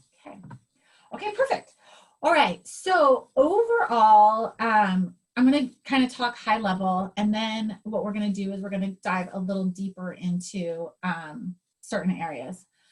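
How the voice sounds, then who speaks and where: Somewhat breathy, a woman speaks at a fairly slow pace with big swings in loudness. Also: medium pitch for a woman, ordinary pitch variation. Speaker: astrologer. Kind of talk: personal astrology reading.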